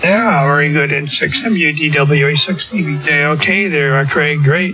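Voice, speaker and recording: A man's fairly high voice with ordinary pitch variation and very even loudness, at a moderate pace, over music in the background. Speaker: amateur radio operator. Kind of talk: casual chat. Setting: amateur radio transmission.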